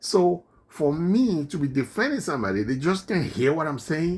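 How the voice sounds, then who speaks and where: With a slight non-native accent, a man speaks in an animated tone at a fairly high pitch, his voice making very wide pitch swings. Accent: non-native accent, now slight. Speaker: political commentator. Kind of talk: opinion monologue.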